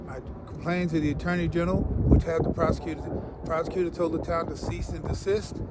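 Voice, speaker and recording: At a fairly quick pace, a man speaks while noticeable background noise plays behind him. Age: 70s. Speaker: retired police chief. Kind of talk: interview. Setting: outdoors.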